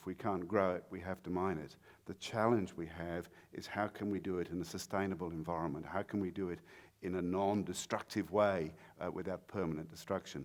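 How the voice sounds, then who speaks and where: A man with a British accent speaks fairly quickly in a very deep, low voice and a monotone, flat intonation. The recording is very clean, with a silent background. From Britain. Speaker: mining industry speaker. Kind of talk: conference talk. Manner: halting, many fillers.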